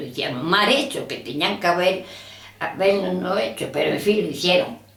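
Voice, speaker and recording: A woman speaks with lively intonation, with noticeable background noise and audible room echo around her. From Andalusia, Spain (Rus, Jaén). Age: 90s. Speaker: elderly woman recalling the civil war. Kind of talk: oral history interview.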